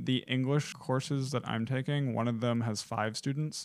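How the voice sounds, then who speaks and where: A man speaks in a normal speaking voice at a moderate pace with fairly even intonation, on a very clean recording with a silent background. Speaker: college student podcast co-host. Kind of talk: casual chat.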